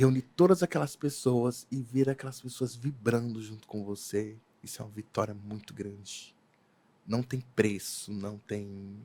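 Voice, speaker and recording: On a very clean recording with a silent background, a man speaks at a moderate pace in a dark, mellow tone that is somewhat breathy. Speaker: event decorator. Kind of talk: casual chat.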